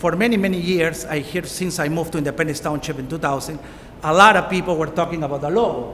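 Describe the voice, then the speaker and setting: Over noticeable background noise and audible room echo, a man with a Peruvian accent talks at a very fast pace in a high pitch. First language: Spanish. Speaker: township supervisor. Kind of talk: public speech.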